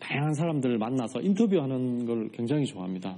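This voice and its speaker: With a Gyeongsang accent, a man talks in a dark, mellow tone, his pitch swinging very widely. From South Korea, Changwon, South Gyeongsang. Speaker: writer and podcaster, farm produce seller. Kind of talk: talk to studio audience. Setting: studio with audience. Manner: many filler words.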